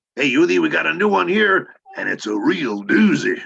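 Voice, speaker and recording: A man puts on a character voice and talks at a moderate pace. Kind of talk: folksy, casual.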